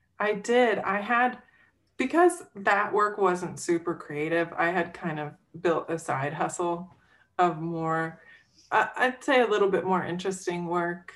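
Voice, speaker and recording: A normal speaking voice with an American accent moves at a fairly slow pace with ordinary pitch variation. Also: woman, fairly low pitch for a woman. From West Virginia. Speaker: illustrator and designer. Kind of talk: interview. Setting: video call.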